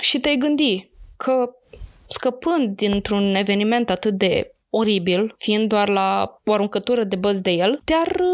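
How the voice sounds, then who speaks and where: This woman has a fairly high voice with ordinary pitch variation. She speaks at a very slow pace. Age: 20s. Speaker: true crime podcast co-host. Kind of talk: scripted true crime narration; casual chat.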